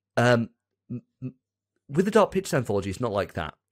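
In a quiet background, a man talks at a fairly quick pace. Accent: English. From England. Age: 30s. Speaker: podcast host. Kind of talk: casual chat. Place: home room. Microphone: studio mic.

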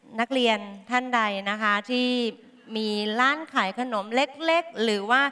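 This woman's tone is bright and sharp. She uses ordinary pitch variation. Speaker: chef giving a cooking demonstration. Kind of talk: tutorial. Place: hall. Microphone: headset.

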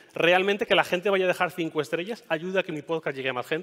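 A man talks with only quiet in the background. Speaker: podcaster and tech journalist giving a talk; conference speaker. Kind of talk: conference talk. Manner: fast; hesitant, many fillers. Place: stage.

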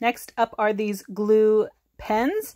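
A woman talks against a quiet background. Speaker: craft haul vlogger. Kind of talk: casual haul review chat.

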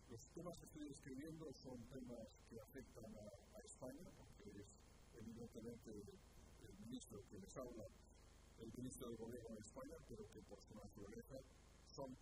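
Over loud background noise, a man speaks at a moderate pace with ordinary pitch variation. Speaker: government minister. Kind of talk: press conference statement. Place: hall. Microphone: podium.

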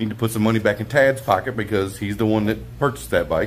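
A man speaks at a fairly low pitch with vocal fry and ordinary pitch variation. Light background noise can be heard. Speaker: motorcycle vlogger. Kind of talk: casual vlog chat. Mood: happy, relaxed. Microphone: phone near.

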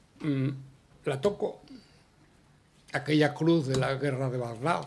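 A man's fairly high, somewhat breathy voice with ordinary pitch variation, at a very slow pace. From Andalusia, Spain. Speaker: veteran journalist, award winner. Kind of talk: award acceptance speech. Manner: halting.

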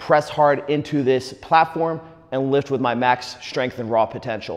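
The pace is moderate. A man speaks with ordinary pitch variation. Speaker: fitness coach. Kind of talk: tutorial. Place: gym.

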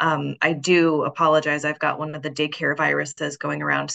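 A raspy, hoarse put-on character voice at a moderate pace. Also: woman, very deep, low pitch for a woman.

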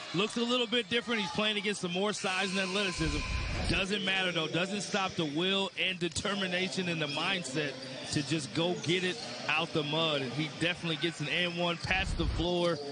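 There is noticeable background noise behind a man with a high pitch. His loudness stays very even. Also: ordinary pitch variation, fairly quick pace. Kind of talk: live sports color commentary. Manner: analytical, conversational, measured.

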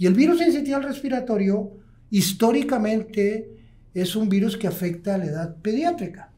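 High-pitched for a man, his voice carries lively intonation at a fairly slow pace. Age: 60s. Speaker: pulmonologist, hospital medical director; guest. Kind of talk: interview, expert explanation. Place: studio. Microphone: studio mic.

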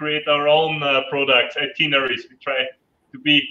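With an Austrian accent, a man talks at a fairly quick pace and a fairly high pitch. Room echo can be heard. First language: German. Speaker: adventure tour operator; panelist. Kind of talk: online panel interview. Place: home room. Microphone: video call.

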